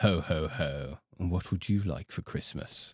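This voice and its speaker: A man puts on a raspy character voice with a very deep, low pitch at a moderate pace. The recording is very clean, with a silent background. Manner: jolly.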